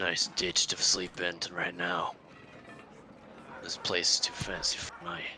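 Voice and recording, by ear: A man puts on a character voice with a very deep, low pitch. He talks at a fairly slow pace over clear background noise.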